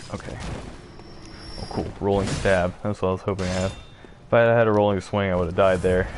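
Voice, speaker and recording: Delivered at a very fast pace in a monotone, flat intonation, the voice breaks off with long, frequent pauses over noticeable background noise. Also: man, very deep, low pitch for a man. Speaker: gaming streamer. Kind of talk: gameplay commentary. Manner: casual, hesitant with fillers.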